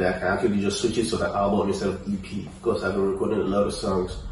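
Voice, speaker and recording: Words come at a very fast pace. There is audible room echo and light background noise. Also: man. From Nigeria, Lagos. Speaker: rapper. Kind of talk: interview. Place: home room.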